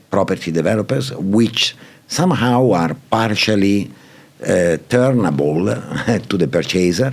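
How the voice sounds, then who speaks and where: At a very slow pace, the speaker uses lively intonation in an Italian accent, with noticeable background noise. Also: man. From Italy. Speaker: property and PropTech executive. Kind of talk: podcast interview answer.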